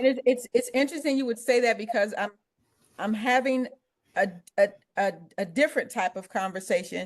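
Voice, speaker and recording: With an American accent, the speaker moves at a fairly quick pace but takes long, frequent pauses, pitch varying in an ordinary way. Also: woman, high pitch for a woman. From Cleveland, Ohio. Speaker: author and social worker. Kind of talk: casual interview. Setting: video call. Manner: animated.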